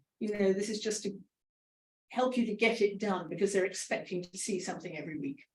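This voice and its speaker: With a British accent, a woman speaks at a very fast pace in a somewhat breathy voice, showing ordinary pitch variation and big swings in loudness. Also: medium pitch for a woman. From Britain. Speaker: author. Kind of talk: book launch Q&A.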